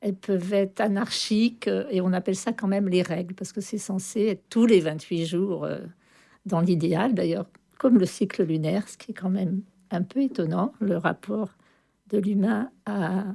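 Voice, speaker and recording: At a moderate pace, a woman speaks with medium pitch, ordinary pitch variation and a dark, mellow tone on a very clean recording with a silent background. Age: 70s. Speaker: retired midwife, association member. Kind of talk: radio interview talk. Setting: radio studio, live broadcast.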